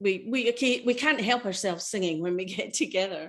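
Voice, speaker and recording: Against a quiet background, a woman speaks with a Scottish accent and ordinary pitch variation. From Scotland. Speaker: choral singer and presenter. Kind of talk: online workshop presentation.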